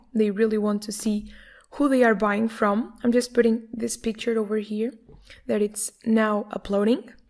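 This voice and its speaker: A woman speaks with a Portuguese accent at a moderate pace. Her pitch is fairly high and her intonation monotone and flat. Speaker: online course instructor. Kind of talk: screen-recorded tutorial.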